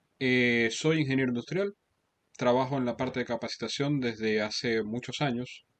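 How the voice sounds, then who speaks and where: Moderate pace with long, frequent pauses, ordinary pitch variation, and a Venezuelan accent. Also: man. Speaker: Excel instructor. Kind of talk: lecture. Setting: video call. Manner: halting.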